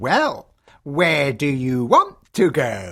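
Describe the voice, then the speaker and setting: The speaker puts on a character voice at a low-to-middle pitch. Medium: audio drama. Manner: sly, teasing.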